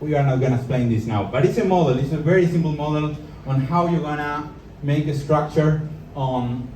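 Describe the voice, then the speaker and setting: Over noticeable background noise and audible room echo, a man talks at a fairly quick pace, his pitch fairly high with ordinary variation. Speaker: entrepreneur and speaker. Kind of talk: live talk to an audience. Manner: halting.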